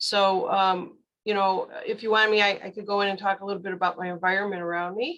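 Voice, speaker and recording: Her tone bright and sharp, a woman speaks with an American accent. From Chicago area, US Midwest. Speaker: tarot reader. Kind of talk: casual chat.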